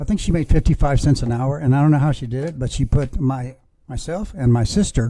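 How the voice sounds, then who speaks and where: The voice is somewhat breathy, with a dark, mellow tone and an American accent. It moves at a fairly quick pace with ordinary pitch variation. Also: man. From Texas, San Antonio. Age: 70s. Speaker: podcast guest, former sales representative. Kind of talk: casual chat, storytelling. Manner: halting, many fillers.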